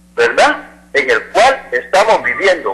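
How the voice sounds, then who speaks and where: A man with a Salvadoran accent talks at a very slow pace over noticeable background noise. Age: 60s. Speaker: caller, laborer. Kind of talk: call-in opinion.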